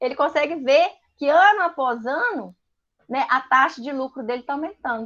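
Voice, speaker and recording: Against a quiet background, a woman with a high voice sounds animated, her pitch moving in an ordinary way. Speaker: business teacher. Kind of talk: online lecture. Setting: livestream with screen share.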